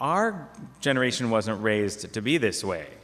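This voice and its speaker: There's audible room echo around a man speaking at a fairly low pitch. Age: 50s. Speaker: parish talk presenter. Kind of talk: lecture. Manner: conversational.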